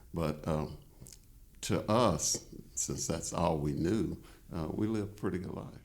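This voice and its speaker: Delivered at a fairly slow pace with long, frequent pauses and lively intonation, this voice with a Tennessee accent carries audible room echo. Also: man, very deep, low pitch for a man. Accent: Southern US (Tennessee). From US South, Chattanooga, Tennessee. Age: 70s. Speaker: appellate judge. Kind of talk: interview. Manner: halting, many filler words.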